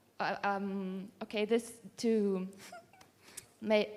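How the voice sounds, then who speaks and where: Flat, monotone intonation comes with a non-native accent. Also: woman. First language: not English. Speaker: workshop participant. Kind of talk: audience question. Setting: live workshop with audience. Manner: halting.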